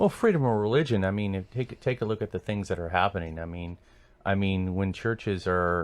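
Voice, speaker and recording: A man with an American accent speaks at a very deep, low pitch. The background is quiet. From Sacramento area, California. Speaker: political candidate. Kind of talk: radio interview. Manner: halting.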